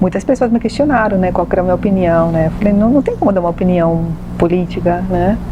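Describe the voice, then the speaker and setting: Very fast speech from a woman, very even in loudness, with noticeable background noise. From Venezuela. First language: Spanish (speaking Portuguese). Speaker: medium and holistic therapist. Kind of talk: TV talk show interview.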